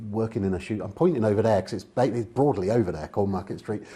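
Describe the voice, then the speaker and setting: A man talks with a southern English accent and a dark, mellow tone. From England, Oxfordshire. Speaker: public speaker and author. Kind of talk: interview conversation.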